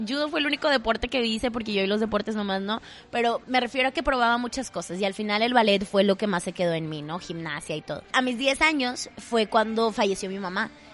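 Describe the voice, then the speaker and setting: Over music in the background, a woman speaks at a fairly quick pace with fairly high pitch and ordinary pitch variation. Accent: strong Monterrey. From Monterrey, northern Mexico. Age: 20s. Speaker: theatre actress and podcaster. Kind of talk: casual chat. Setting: coffee shop.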